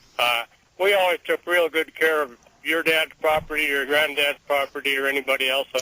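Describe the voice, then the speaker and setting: A man's normal speaking voice, fairly high in pitch, at a fairly quick pace with fairly even intonation and very even loudness. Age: 60s. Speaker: caller, oil field worker. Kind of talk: radio call-in. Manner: casual.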